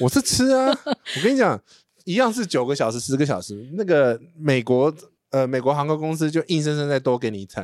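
A fairly high-pitched man talks at a fairly quick pace with very wide pitch swings, in a very clean, silent recording with a dry, close sound and no echo. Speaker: travel podcast host. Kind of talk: casual chat.

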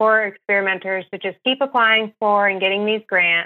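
A woman with an unremarkable speaking voice, medium pitch, and a moderate pace. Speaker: research scientist at an animal rights group. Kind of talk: interview.

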